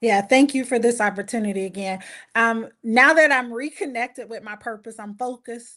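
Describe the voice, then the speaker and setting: A woman with a Southern US accent speaks in a bright, sharp tone, with big swings in loudness. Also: fairly high pitch for a woman, ordinary pitch variation, moderate pace, quiet background. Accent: Southern US (Georgia). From US South, Valdosta, Georgia. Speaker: anthology co-author, marriage ministry leader. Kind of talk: interview on a live-streamed book launch. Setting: live stream.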